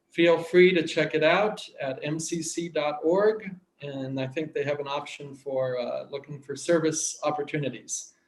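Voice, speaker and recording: At a moderate pace, a man with a Midwestern US accent speaks with ordinary pitch variation. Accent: General American, Midwestern. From US Midwest, Kansas. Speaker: church aid worker. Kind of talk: video greeting. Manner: halting, many fillers.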